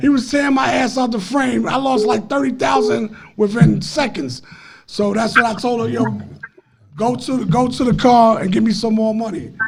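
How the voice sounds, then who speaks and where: In a room with audible echo, a man with a high pitch speaks at a moderate pace with ordinary pitch variation. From Harlem, New York City. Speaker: former street figure telling stories. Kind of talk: casual podcast chat.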